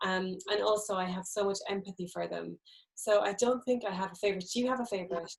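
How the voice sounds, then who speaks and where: At a very fast pace, a woman with an Irish accent keeps her intonation fairly even. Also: medium pitch for a woman. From Ireland, Midlands (County Laois). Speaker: novelist. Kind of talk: book event interview. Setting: live stream.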